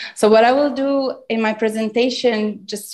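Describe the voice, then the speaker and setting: A woman speaks with an Italian accent at a fairly slow pace. Her pitch varies in an ordinary way over a quiet background. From Italy (Turin). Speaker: academic lecturer. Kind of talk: lecture. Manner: halting, many fillers.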